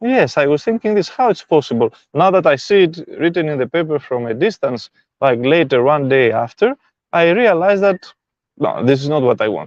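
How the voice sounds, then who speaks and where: In a dry, close sound with no echo, a man with a non-native accent speaks at a fairly high pitch, with very wide pitch swings. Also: quiet background. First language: not English. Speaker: spiritual self-help teacher. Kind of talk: live stream talk. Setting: live stream.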